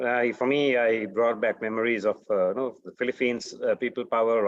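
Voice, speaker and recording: With a Sri Lankan accent, a man speaks at a moderate pace. His intonation stays fairly even. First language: Sinhala. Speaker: human rights defender. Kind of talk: panel talk. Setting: webinar. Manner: halting, many fillers.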